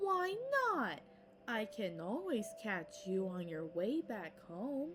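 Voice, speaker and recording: A woman does a put-on character voice at a very slow pace, with clear background noise behind her. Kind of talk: bedtime story. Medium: read story. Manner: roaring, bullying.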